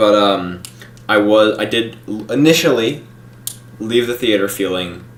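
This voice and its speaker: This man speaks at a fairly slow pace, his pitch fairly low with ordinary variation. Room echo is audible, and background noise is noticeable. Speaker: YouTube film reviewer. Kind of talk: live stream review. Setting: live stream. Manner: slow, halting.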